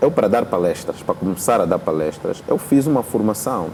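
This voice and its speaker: A man with a fairly low pitch speaks at a moderate pace, his intonation lively. Noticeable background noise runs behind him. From Angola. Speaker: rapper. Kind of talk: interview.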